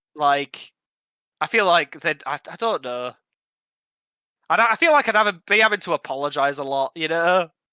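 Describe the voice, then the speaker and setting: A man with a high pitch and a bright, sharp tone talks at a moderate pace with lively intonation and long, frequent pauses. The recording is very clean with a silent background, and the sound is dry and close with no echo. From Yorkshire, England. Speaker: podcast co-host. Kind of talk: casual chat. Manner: animated.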